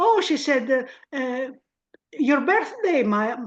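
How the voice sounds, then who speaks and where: Lively intonation from a woman at a fairly slow pace. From Greece. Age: 70s. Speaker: spiritual practitioner sharing memories. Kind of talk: interview reminiscence.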